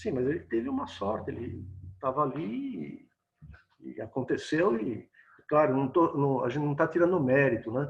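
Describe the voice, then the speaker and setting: A man with a fairly high pitch and vocal fry speaks at a moderate pace with ordinary pitch variation. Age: 60s. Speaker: photojournalist and photography teacher. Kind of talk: casual interview chat. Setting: video call.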